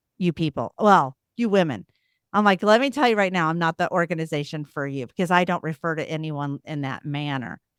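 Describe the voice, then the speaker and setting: A woman with an American accent speaks at a fairly quick pace in a fairly low pitch, with an animated tone and lively intonation. The sound is dry and close with no echo, on a very clean recording with a silent background. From US Midwest (Missouri, small town). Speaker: CEO and diversity advocate in finance. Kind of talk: podcast interview. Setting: live forum.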